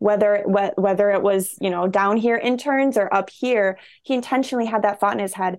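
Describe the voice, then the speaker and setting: A woman with an unremarkable speaking voice speaks at a fairly quick pace, with a medium pitch and ordinary pitch variation, against a quiet background. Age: 20s. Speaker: church communications coordinator. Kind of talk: casual chat.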